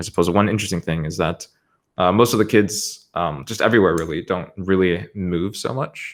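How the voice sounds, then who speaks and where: The pace is fairly quick, with ordinary pitch variation. The recording is very clean, with a silent background. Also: man, very deep, low pitch for a man. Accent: American. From US East Coast. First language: Spanish. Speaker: crypto creative director. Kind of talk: podcast interview. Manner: many fillers and restarts.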